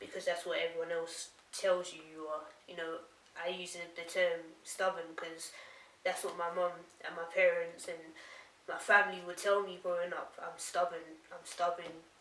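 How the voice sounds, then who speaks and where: Amid noticeable background noise and audible room echo, a woman with a fairly low pitch speaks at a moderate pace in a monotone, flat way, with long, frequent pauses and big swings in loudness. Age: young. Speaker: author. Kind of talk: casual interview chat.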